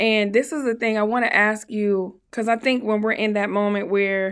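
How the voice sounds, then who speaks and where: At a moderate pace and in an animated tone, the speaker comes through in a very clean recording with a silent background. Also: woman. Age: 40s. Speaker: podcast host and studio owner. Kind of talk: interview conversation. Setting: studio.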